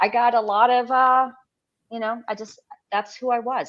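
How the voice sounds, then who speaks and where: A woman talks at a fairly slow pace. Her pitch is high. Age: 60s. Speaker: blogger. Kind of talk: casual chat. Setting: live stream.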